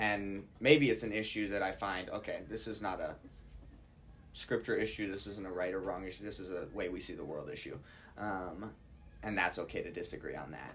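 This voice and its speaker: Man at a fairly quick pace with audible room echo. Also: fairly low pitch for a man, ordinary pitch variation. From Hawaii. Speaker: Bible college student. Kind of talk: casual chat.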